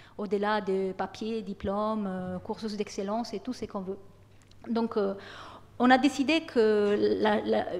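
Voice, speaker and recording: In an Italian accent, a woman speaks at a fairly slow pace and fairly high pitch, with ordinary pitch variation and long, frequent pauses. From Italy. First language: Italian (speaking French). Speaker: university lecturer. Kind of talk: program presentation to students. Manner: hesitant, many fillers and repetitions.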